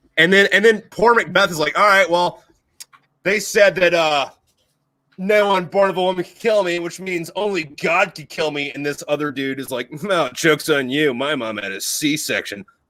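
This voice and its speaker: Bright, sharp, and animated, a man with an American accent speaks at a moderate pace and a high pitch. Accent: flat American. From USA. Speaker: podcast host, Marine Corps veteran. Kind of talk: casual chat.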